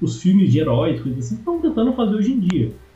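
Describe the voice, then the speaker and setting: Over audible room echo, a man speaks with very wide pitch swings. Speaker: film video creator and screenwriter. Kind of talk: casual chat.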